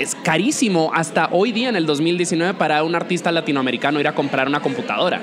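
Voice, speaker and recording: Someone talks at a fairly quick pace while a crowd murmurs in the background. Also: man. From Dominican Republic. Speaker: podcast host and music journalist. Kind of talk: interview; show outro.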